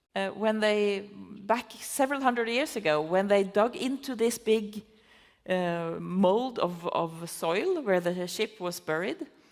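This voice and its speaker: A woman with a medium pitch speaks at a fairly slow pace. Her intonation is lively. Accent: Norwegian. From Norway. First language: Norwegian. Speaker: conservation biology professor. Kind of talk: festival talk interview. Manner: halting, many fillers.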